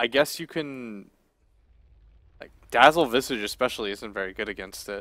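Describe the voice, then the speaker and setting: A man's medium-pitched, bright, sharp voice, with ordinary pitch variation, big swings in loudness, and long, frequent pauses. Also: moderate pace. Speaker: esports commentator. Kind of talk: live commentary. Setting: studio. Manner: soft-spoken.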